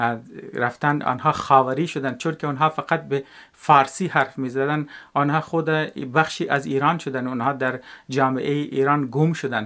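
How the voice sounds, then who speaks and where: The recording is very clean, with a silent background. A man talks with a fairly high pitch and fairly even intonation. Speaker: educational video maker. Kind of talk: spoken video essay. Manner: halting, many filler sounds.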